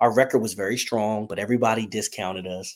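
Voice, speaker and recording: The recording is very clean, with a silent background. A man talks at a medium pitch and a moderate pace. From Delaware. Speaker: football fan guest. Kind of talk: casual chat.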